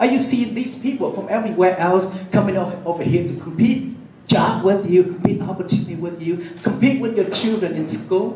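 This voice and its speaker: Noticeable background noise and audible room echo accompany a man with a high pitch and ordinary pitch variation. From Vietnam. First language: Vietnamese. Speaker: city councilman. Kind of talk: public speech. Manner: halting, repeats words.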